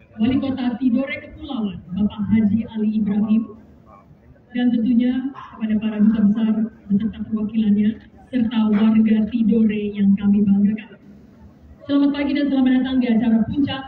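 Room echo is audible alongside light background noise as the voice moves at a moderate pace. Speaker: ceremony emcee. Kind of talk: formal ceremony announcement. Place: stage.

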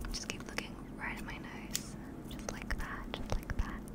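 She speaks at a fairly slow pace. The woman is whispering. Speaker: ASMR creator. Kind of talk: soft whispered ASMR roleplay. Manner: soft, soothing ASMR voice. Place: home room. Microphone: studio mic.

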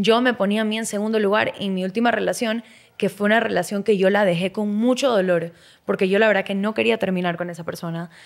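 A woman's very fast voice with fairly even intonation over a quiet background. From Ecuador. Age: 20s. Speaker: model and former cooking show contestant; podcast guest. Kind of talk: casual interview chat. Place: studio. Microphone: studio mic.

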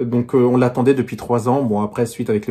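A man speaks with intonation that remains fairly even. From France. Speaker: book YouTuber. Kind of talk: casual vlog book presentation. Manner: hesitant, many fillers. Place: home room. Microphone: phone near.

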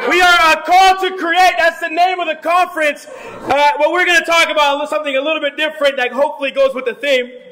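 A man's raised, projected voice sits at an extremely high pitch, with an animated tone. He talks at a very fast pace over light background noise. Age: 30s. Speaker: pastor. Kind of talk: sermon. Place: hall. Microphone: podium.

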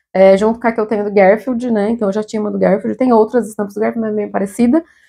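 Over a quiet background, a woman talks at a very fast pace in a dark, mellow tone with fairly even intonation. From Brazil. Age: 30s. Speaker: fashion YouTuber. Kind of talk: haul video, casual talk to camera. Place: home room. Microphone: lapel.

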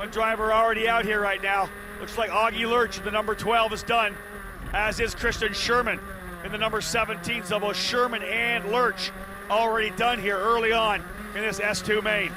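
An excited man with a high pitch and a raised, projected voice over noticeable background noise. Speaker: race commentator. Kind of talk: live race commentary. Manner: fast-paced, rattling off positions and names; excited, urgent call.

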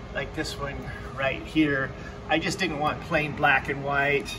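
A man speaks fairly slowly. Behind his voice there is noticeable background noise. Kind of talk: casual tutorial narration. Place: office. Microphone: phone near.

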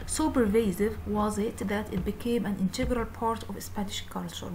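A woman at medium pitch, with fairly even intonation and a moderate pace, and audible room echo. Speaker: English teacher. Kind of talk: tutorial.

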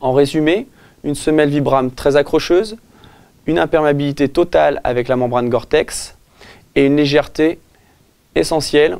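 A man at a moderate pace with ordinary pitch variation and long, frequent pauses, over a quiet background. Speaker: presenter. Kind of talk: product presentation. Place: shop.

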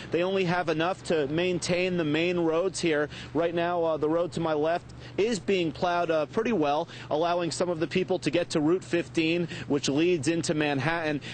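At a moderate pace, a man with a high pitch talks with fairly even intonation and very even loudness, the sound dry with no echo and light background noise behind him. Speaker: TV field reporter. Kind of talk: live news report. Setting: outdoors in snowstorm. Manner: formal. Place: street. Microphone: lapel.

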